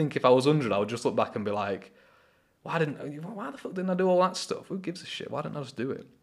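With a fairly high pitch, vocal fry and an animated tone, a man races along at a very fast pace, his pitch swinging very widely and his loudness rising and falling sharply. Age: 20s. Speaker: solo podcaster. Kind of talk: casual monologue.

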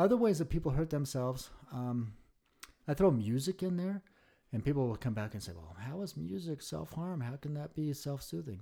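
A man with a fairly high, somewhat breathy voice and a dark, mellow tone speaks at a moderate pace, his pitch swinging very widely and his loudness shifting a lot, on a very clean recording with a silent background. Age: 50s. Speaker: licensed clinical social worker and therapist. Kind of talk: casual chat.

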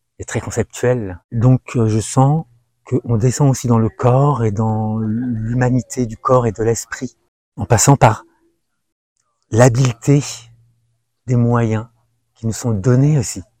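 Over a very clean recording with a silent background, a man speaks at a very slow pace with long, frequent pauses, his medium-pitched voice dark and mellow in tone and the sound dry and close with no echo. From France, Algerian parents. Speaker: meditation practitioner sharing testimony. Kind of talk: testimony. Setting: outdoors among trees. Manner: halting.

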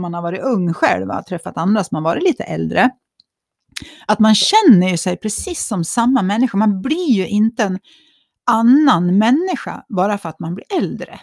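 A woman's somewhat breathy, fairly high voice moves with lively intonation, recorded dry and close with no echo. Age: 50s. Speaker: podcast co-host. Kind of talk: casual chat.

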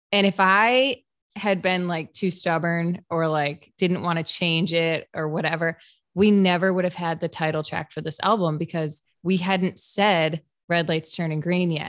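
A woman with an American accent has an unremarkable speaking voice, fairly low in pitch with fairly even intonation. She speaks at a fairly slow pace against a quiet background. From upstate New York (Fairport, Rochester area). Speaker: country singer-songwriter. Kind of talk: casual interview chat.

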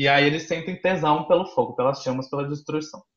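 A man speaks in an unremarkable speaking voice. His pace is moderate and his pitch variation ordinary. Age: 20s. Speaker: content creator and university student. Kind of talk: casual chat.

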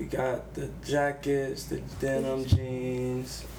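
Amid noticeable background noise and audible room echo, a man with an American accent talks at a very slow pace. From Savannah, Georgia. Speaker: artist and designer. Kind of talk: casual chat.

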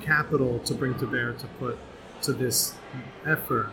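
With music in the background, a man in an American accent talks at a moderate pace. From Southern California. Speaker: brewery co-owner.

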